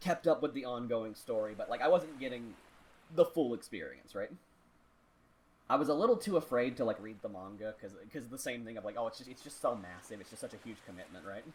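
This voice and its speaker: A man with a Southern US accent at a medium pitch, talking very fast, with big swings in loudness. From US South. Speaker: podcast co-host. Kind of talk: casual chat.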